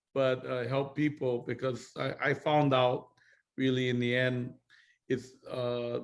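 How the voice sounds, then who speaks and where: A man's medium-pitched, monotone, flat delivery at a very slow pace, in a Hawaiian accent. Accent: Hawaiian American English. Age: 60s. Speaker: network marketing business mentor. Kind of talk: casual chat.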